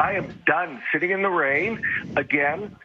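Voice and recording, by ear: An angry, hoarse, strained man's voice with a husky, rough edge, fairly high in pitch, at a moderate pace with ordinary pitch variation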